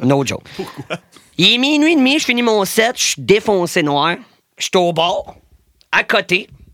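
A raised, projected voice, bright and sharp, swings very widely in pitch at a fairly slow pace. Long, frequent pauses break it up in a dry, close sound with no echo. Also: man, high pitch for a man. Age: 20s. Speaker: DJ. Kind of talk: casual chat. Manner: animated.

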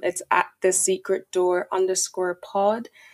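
In a Dublin accent, a woman of medium pitch speaks at a fairly slow pace with monotone, flat intonation. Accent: Irish (Dublin). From Ireland (Dublin), Nigerian heritage. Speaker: podcaster and account manager. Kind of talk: interview.

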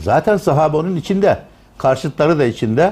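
Vocal fry runs through a man's voice as he talks at a moderate pace. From Turkey, Tokat. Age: 60s. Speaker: retired theology professor. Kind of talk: lecture.

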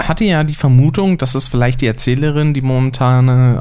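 At a moderate speed and a medium pitch, a man talks in an unremarkable speaking voice. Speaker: podcast host. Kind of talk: casual chat. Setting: home recording, sitting side by side. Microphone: poor audio quality, less noise removal.

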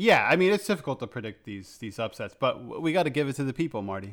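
A man talks at a very fast pace with a fairly high pitch and an American accent. The recording is very clean, with a silent background. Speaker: podcast host. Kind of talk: casual chat.

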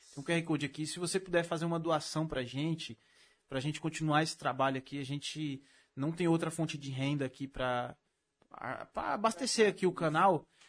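A man talks at a fairly quick pace in a São Paulo accent. His pitch varies in an ordinary way. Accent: paulista Brazilian Portuguese. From Brazil, São Paulo state (Mauá). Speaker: podcast host. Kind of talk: casual chat; sales pitch.

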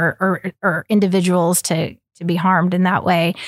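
A woman with an American accent talks at a moderate pace in an ordinary speaking voice, medium in pitch. The sound is dry and close, with no echo. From Oklahoma. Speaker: entrepreneur. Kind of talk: interview. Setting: studio.

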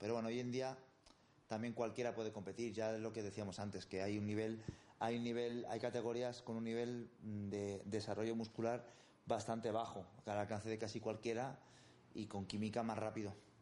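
A man speaks with a dark, mellow tone. His intonation is flat and monotone. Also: medium pitch for a man, moderate pace. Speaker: bodybuilding coach. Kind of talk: interview.

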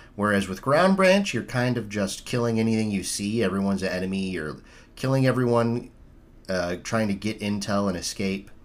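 This man talks at a fairly quick pace with an unremarkable speaking voice. His pitch is fairly low and his intonation fairly even. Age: 30s. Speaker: podcast host. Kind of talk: casual chat.

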